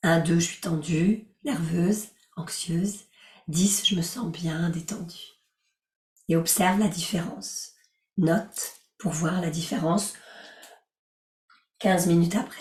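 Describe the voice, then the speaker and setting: Speaking very slowly with long, frequent pauses, a woman uses a gentle, calm tone, fairly low pitch and fairly even intonation. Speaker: life coach and yoga teacher. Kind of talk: guided relaxation session with group discussion.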